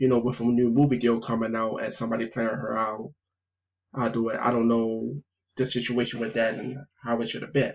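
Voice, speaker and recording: A man's medium-pitched voice at a fairly quick pace, with monotone, flat intonation. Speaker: gaming youtuber. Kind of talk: video game review vlog. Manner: stuttering, halting.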